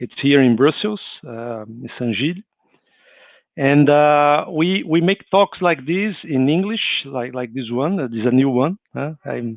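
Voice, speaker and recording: Lively intonation carries the speech, delivered with a Brazilian accent. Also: man, fairly high pitch for a man. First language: Portuguese. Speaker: spiritist speaker. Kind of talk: livestreamed talk. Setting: online livestream. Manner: halting, with many repetitions and fillers.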